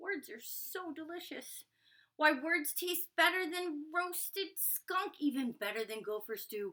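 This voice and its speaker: A woman uses a put-on character voice at an extremely high pitch, growling. She speaks at a fairly slow pace. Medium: read story.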